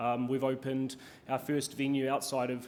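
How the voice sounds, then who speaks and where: With a New Zealand accent, a man speaks in a medium pitch at a moderate pace, his intonation monotone and flat, with audible room echo. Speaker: hospitality executive, keynote speaker. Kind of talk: conference keynote talk. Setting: stage with audience. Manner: many filler ums, hesitant.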